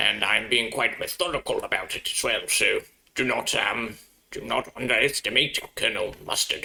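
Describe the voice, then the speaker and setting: A man in a put-on character voice at a moderate pace. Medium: actual play. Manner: stiff, upper-class.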